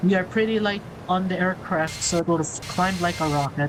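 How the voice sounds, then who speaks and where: A woman with a fairly low pitch and ordinary pitch variation amid noticeable background noise. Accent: Filipino. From Philippines. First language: Filipino. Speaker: flight sim streamer. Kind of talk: live gameplay stream commentary.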